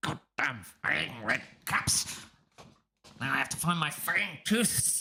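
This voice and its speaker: A man's raspy, put-on character voice at a fairly high pitch, with very wide pitch swings, a fairly slow pace and long, frequent pauses. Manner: muttering, irritated.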